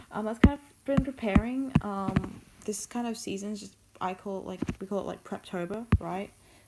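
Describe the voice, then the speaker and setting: A woman at a moderate pace, fairly even in intonation, with big swings in loudness over noticeable background noise. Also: medium pitch for a woman. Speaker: art streamer. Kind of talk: casual chat. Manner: hesitant, many fillers.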